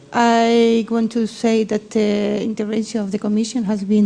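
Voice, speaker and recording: The speech moves at a fairly slow pace with monotone, flat intonation. Noticeable background noise is present. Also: woman. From Spain. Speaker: session chair. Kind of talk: panel discussion.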